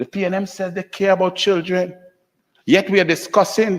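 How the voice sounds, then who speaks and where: A man speaks loudly at a moderate pace, his pitch high. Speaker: senator. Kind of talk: parliamentary speech. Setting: senate chamber. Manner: impassioned.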